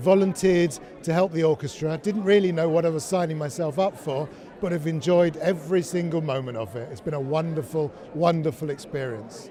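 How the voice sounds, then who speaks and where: Noticeable background noise behind a man's fairly high voice, with ordinary pitch variation and a fairly quick pace. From London, England. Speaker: narrator. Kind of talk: testimonial interview.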